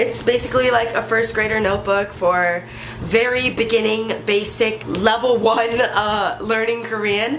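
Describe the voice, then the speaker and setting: An animated voice moves at a fairly slow pace, with noticeable background noise and audible room echo. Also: woman, fairly high pitch for a woman. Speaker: youtuber. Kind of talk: casual vlog tutorial.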